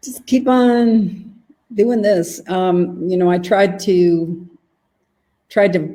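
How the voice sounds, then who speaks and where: A woman's fairly low voice in a dark, mellow tone. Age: 60s. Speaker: medical practitioner and disease expert. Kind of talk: interview.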